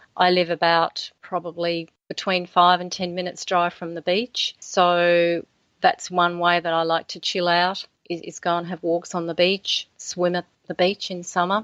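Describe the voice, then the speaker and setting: A woman with an Australian accent talks at a moderate pace in a fairly low pitch. Her intonation is monotone and flat, with a dry, close sound, no echo and a quiet background. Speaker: author. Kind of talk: interview.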